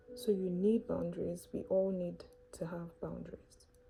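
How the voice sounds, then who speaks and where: A woman's calm, gentle tone at a fairly slow pace, with music in the background. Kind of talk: faith-based reflection talk to camera.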